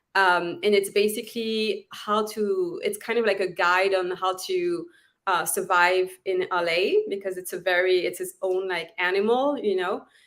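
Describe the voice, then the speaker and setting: A woman with a French accent speaks at a fairly slow pace and a medium pitch, with fairly even intonation and hardly any pauses. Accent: French accent, noticeable. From southern France. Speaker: actress and author. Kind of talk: interview chat.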